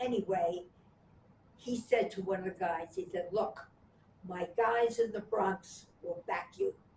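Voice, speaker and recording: A woman speaks at a very slow pace and medium pitch, with fairly even intonation. Her tone is dark and mellow and somewhat breathy. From Washington, D.C. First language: Yiddish. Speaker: sculpture artist and activist. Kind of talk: oral history interview answer.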